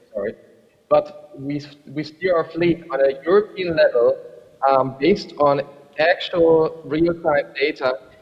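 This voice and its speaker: The pace of this man's speech is fairly slow. There is noticeable noise in the background. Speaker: rail freight program manager. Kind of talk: panel discussion. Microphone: hears own echo.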